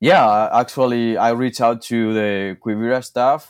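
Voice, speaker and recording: At a fairly slow pace, a man with a Spanish accent speaks with ordinary pitch variation. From Spain. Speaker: ranch apprentice. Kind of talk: casual interview. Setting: remote call.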